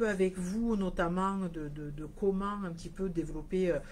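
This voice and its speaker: Speech comes at a fairly slow pace with a slight southern French accent. Room echo is audible. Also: woman. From southern France, Hérault (34). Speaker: nail products business owner. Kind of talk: live stream talk. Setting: Facebook live video. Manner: hesitant, many fillers.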